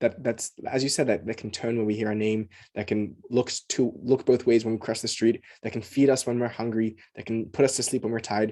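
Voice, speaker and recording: Against a quiet background, a man with an Australian accent speaks at a medium pitch and a fairly quick pace in a dark, mellow tone. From Australia, Sydney. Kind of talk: casual conversation, podcast interview. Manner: animated, enthusiastic; halting, many repetitions and fillers.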